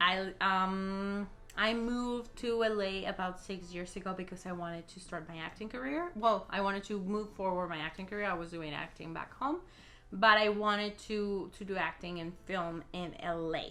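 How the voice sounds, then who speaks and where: With audible room echo, a woman at medium pitch speaks at a moderate pace in a bright, sharp tone, her intonation fairly even but her loudness swinging widely. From Mexico. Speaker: YouTuber and actress. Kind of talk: casual Q&A vlog. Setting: home recording.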